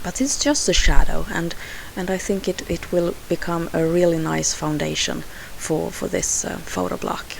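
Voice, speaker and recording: With a Swedish accent, a woman talks at a moderate pace amid audible room echo and noticeable background noise. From Sweden. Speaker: scrapbooking crafter. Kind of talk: tutorial voiceover. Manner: halting, many fillers.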